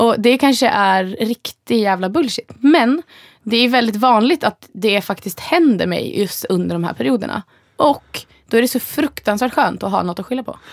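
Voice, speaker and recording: This woman has a plain, everyday voice, fairly high in pitch, with lively intonation at a moderate pace. The recording is dry and close, with no echo. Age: 30s. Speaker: podcast co-host. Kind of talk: casual chat.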